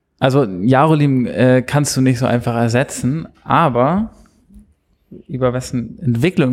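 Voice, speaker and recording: A man talks at a fairly slow pace in an ordinary speaking voice, with a medium pitch and ordinary pitch variation. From Hamburg, Germany. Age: 20s. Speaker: television writer. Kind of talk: casual chat.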